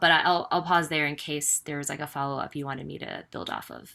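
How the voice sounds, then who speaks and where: In a New York accent, a woman talks at a very fast pace with a bright, sharp tone. Her pitch is very deep and low, and her intonation stays fairly even. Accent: New York American English. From US, New York City. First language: Mandarin. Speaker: executive coach. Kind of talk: online talk. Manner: casual, many fillers.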